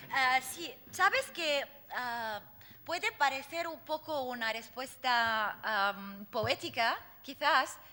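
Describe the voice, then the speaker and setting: A woman with an Arabic accent speaks very slowly in a raised, projected voice, her pitch high, her tone bright and sharp, and her intonation lively. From Lebanon. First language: Arabic (speaking Spanish). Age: 40s. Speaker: poet and activist. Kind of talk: Q&A after lecture. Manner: halting, many fillers.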